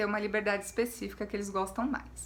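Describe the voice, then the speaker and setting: The speaker is a woman. Room echo is audible. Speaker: history teacher. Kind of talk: lecture.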